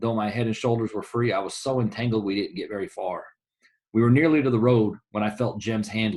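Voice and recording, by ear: The speaker is reading aloud in a natural voice with fairly even intonation. The background is quiet.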